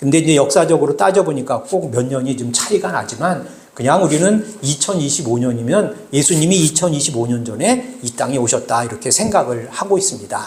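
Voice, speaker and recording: A man talks at a fairly quick clip in a fairly high voice, his pitch swinging very widely. Noticeable background noise and audible room echo surround him. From South Korea, Bucheon (Gyeonggi). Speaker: pastor. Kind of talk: sermon. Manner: halting, many filler sounds; conversational, addressing congregation.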